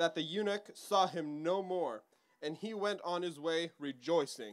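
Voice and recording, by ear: A man talks at a fairly slow pace, his pitch fairly high and ordinary in its variation.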